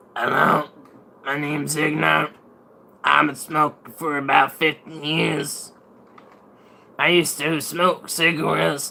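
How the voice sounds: A man does a put-on character voice, gravelly and raspy with vocal fry and little pitch movement. He speaks slowly, with long, frequent pauses. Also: fairly high pitch for a man, bright, sharp tone.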